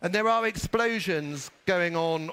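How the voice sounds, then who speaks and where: Speaking at a fairly slow pace, a man with a high pitch uses a bright, sharp tone and ordinary pitch variation. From Britain. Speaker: business executive. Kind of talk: conference speech.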